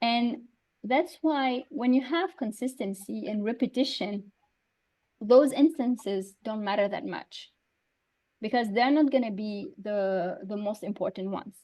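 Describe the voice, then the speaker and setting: A woman with a Tunisian accent talks at a fairly slow pace, her fairly high pitch showing ordinary variation, her tone dark and mellow, and her loudness swinging widely. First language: Tunisian Arabic. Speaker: Arabic teaching expert. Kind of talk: online talk / Q&A.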